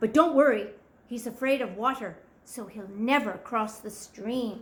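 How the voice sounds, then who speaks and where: A woman puts on a character voice at a fairly high pitch. She keeps a moderate pace. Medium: read story. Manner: scornful, snorting.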